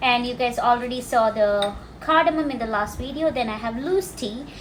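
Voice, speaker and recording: A woman with a Keralan accent speaks at a moderate pace in a high pitch. Her pitch varies in an ordinary way, and the room echo is audible. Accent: Indian (Malayali) English. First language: Malayalam. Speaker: cooking and language teacher. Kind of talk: cooking tutorial. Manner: casual, explanatory.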